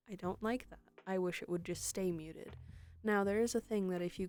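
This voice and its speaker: Soft-spoken, a woman talks at a moderate pace with fairly even intonation. There is music in the background. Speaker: streamer. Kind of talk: casual chat. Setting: live stream. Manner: halting.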